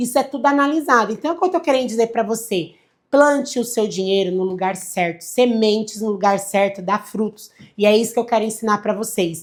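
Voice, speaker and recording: A woman speaks at a fairly quick pace in a fairly high voice with ordinary pitch variation. Her tone is animated. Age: 30s. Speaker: financial advisor. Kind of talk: livestream lecture.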